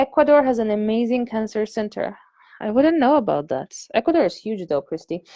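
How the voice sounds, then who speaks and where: A woman with a fairly high pitch and a dark, mellow tone talks at a fairly quick pace with very wide pitch swings, in a dry, close sound with no echo. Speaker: online business coach. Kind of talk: live webinar class. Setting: live video stream. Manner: animated, casual.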